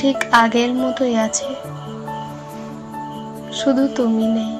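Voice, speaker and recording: A woman talks with a fairly high pitch. Music runs behind her. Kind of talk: poetry reading.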